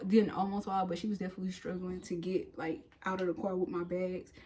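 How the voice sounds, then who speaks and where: Noticeable background noise sits behind the voice. A woman speaks at a medium pitch. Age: 30s. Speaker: lifestyle vlogger. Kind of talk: casual vlog talk.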